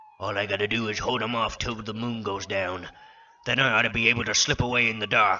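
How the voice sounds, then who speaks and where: In a put-on character voice, the speaker talks at a fairly quick clip with a monotone, flat intonation. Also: man, medium pitch for a man. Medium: read story. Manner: rough, clipped.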